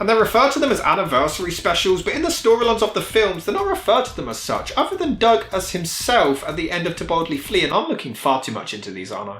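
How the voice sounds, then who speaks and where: A man at a very fast pace with hardly any pauses, big swings in loudness, and music in the background. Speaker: film reviewer. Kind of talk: comedic review commentary. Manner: sarcastic.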